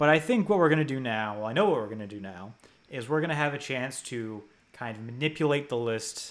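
A man with an American accent talks in an unremarkable speaking voice at a fairly quick pace. His intonation is lively, with big swings in loudness. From US, New Jersey. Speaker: podcast host and site editor. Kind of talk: casual chat.

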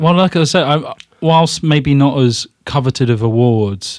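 A man with an ordinary speaking voice, lively intonation and a fairly slow pace. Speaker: podcast co-host.

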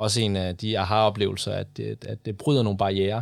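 A man talks at a moderate pace in a fairly low pitch with fairly even intonation, on a very clean recording with a silent background. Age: 20s. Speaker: sustainability consultant. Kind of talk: studio interview. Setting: studio. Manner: hesitant with fillers.

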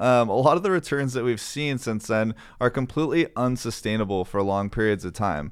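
Using an ordinary speaking voice, a man talks at a medium pitch with lively intonation. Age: 20s. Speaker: financial advisor, podcast co-host. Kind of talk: casual chat about investing.

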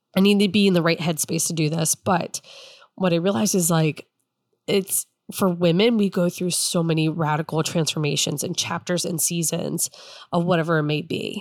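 A woman talks at a moderate pace on a very clean recording where the background is silent. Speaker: podcast host. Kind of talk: personal monologue. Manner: casual, animated.

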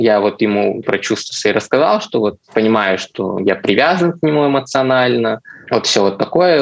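A normal speaking voice, a man at medium pitch with lively intonation and a moderate pace. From Russia, Chelyabinsk. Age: 20s. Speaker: designer, listener telling his story. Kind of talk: personal story in casual chat.

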